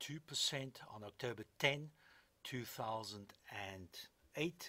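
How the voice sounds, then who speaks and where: A man speaks very slowly at a medium pitch, his intonation lively and his tone bright and sharp. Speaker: investment commentator. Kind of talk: podcast commentary on markets.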